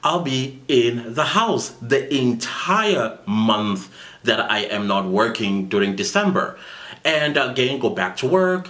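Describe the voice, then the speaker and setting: Against noticeable background noise, a man at medium pitch talks at a very slow pace with very wide pitch swings. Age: 40s. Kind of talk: casual talk to camera.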